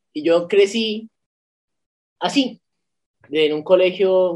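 The man's intonation is lively. His voice sits at a high pitch. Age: 20s. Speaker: law student and political activist. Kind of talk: casual interview. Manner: halting, with repetitions.

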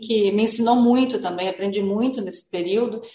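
A woman talks at a fairly high pitch with ordinary pitch variation. Noticeable background noise and audible room echo fill the recording. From Novo Hamburgo, Rio Grande do Sul, Brazil. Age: 50s. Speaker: mayor. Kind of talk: radio interview.

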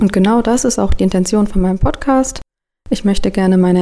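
A woman with a medium-pitched, dark, mellow voice talks at a fairly quick pace with fairly even intonation. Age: 30s. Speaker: podcast host and project manager. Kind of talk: scripted podcast intro.

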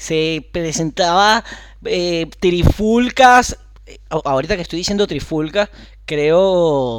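A man with a high pitch talks at a very slow pace, his intonation lively. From Venezuela, Carrizal. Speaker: comedy podcast co-host. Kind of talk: casual comedic chat.

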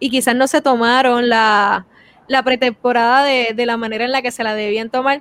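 A woman speaks with a high voice at a moderate pace. Her intonation is monotone and flat. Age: 20s. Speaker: sports show host. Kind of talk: casual sports panel talk.

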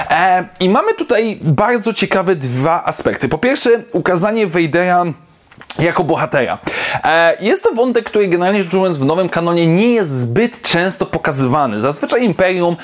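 Speaking at a fairly quick pace, this voice comes through over noticeable background noise. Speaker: YouTube comic book reviewer. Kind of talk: solo video review. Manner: casual, with frequent fillers.

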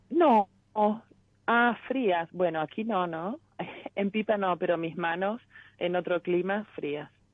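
A woman's medium-pitched voice, very slow, with ordinary pitch variation and long, frequent pauses. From Córdoba, Argentina. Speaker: caller. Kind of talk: phone-in consultation. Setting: phone call.

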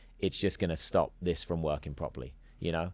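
A man with an English accent at a moderate pace, on a very clean recording with a silent background. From England. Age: 40s. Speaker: actor and entrepreneur. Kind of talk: casual chat.

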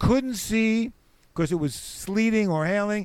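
A man with a New York accent, at a moderate pace, with ordinary pitch variation. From New York City (the Bronx). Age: 70s. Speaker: comedian and musician. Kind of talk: casual chat.

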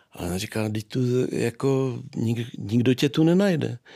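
A dark, mellow tone marks the medium-pitched voice of a man. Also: very clean recording, silent background. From Czech Republic, Moravia (Nový Jičín area). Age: 50s. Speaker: sculptor. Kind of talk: interview.

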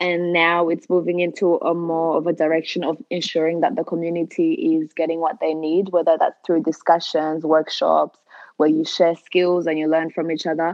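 A woman with a French accent at a moderate pace, fairly low in pitch, monotone and flat, with hardly any pauses. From Rwanda. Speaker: community organiser and creative entrepreneur. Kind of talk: interview.

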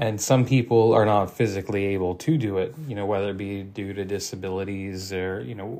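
Speaking at a moderate pace, a man has a plain, everyday voice. His pitch is fairly low and his intonation fairly even. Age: 30s. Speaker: archery podcast host. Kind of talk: solo podcast monologue. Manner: frequent fillers, conversational.

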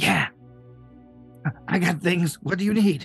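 A put-on character voice, raspy and in a middle pitch, moves at a fairly slow pace. Faint music plays in the background. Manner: sly.

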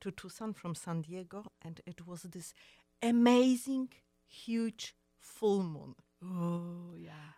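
A woman with a Polish accent, her tone dark and mellow, in a dry, close sound with no echo. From Poland. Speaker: fashion designer. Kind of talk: interview. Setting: studio. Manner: halting.

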